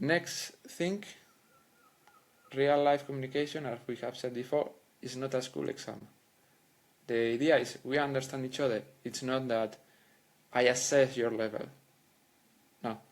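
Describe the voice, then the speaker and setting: A man speaks at a moderate pace with a Spanish accent, his intonation fairly even and broken by long, frequent pauses. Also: medium pitch for a man. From Spain. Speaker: language coach. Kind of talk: educational monologue. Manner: halting.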